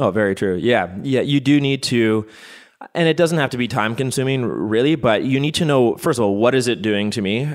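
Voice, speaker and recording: A plain, everyday voice with a Canadian accent moves at a fairly quick pace with ordinary pitch variation. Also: man, medium pitch for a man. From Canada. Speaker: physical therapist. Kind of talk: casual interview. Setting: studio, sharing one microphone.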